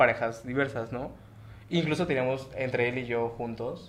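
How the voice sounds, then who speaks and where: A man's medium-pitched voice, a plain, everyday voice. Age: 20s. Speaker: guest in a polyamorous relationship. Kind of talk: casual chat.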